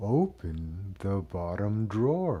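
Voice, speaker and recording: A man puts on a creaky character voice with a fairly low pitch. His intonation is lively. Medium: read story. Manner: slow, distant-sounding.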